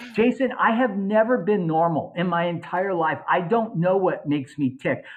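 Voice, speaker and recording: The tone is animated. The pace stays moderate. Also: man. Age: 60s. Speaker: cosmetic dentist. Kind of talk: podcast interview.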